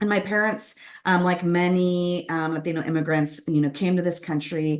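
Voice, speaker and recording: Against a quiet background, a woman with a Californian accent speaks at a moderate pace with fairly even intonation. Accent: General American, Californian. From Southern California, Los Angeles area. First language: Spanish. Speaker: author and former corporate lawyer. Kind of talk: interview about personal story.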